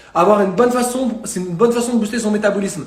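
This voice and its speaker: Audible room echo and noticeable background noise around a man's voice. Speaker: fitness and nutrition coach. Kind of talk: live stream talk. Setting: live stream. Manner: fast.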